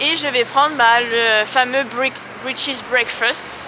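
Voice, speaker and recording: Over noticeable background noise, a woman speaks in a raised, projected voice, the sound dry with no echo. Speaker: vlogger. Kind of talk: casual vlog chat. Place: street. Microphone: phone near.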